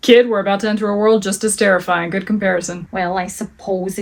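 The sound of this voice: It is an unforced reading voice with fairly even intonation.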